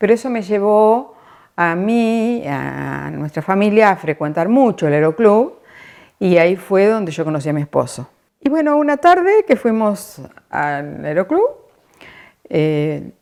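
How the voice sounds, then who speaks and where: At a fairly slow pace, a woman with a medium pitch speaks in very wide pitch swings. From Argentina, La Pampa (General Pico). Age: 70s. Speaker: interviewee, retiree. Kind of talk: personal testimony.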